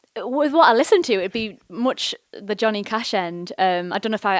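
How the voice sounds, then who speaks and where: Speaking at a fairly quick pace, a woman with a Teesside accent has a fairly high pitch. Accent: Teesside accent, somewhat posh. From northeast England, Teesside (Nunthorpe). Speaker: singer-songwriter. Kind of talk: post-gig interview. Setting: bookshop stage with audience. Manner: hesitant, many fillers.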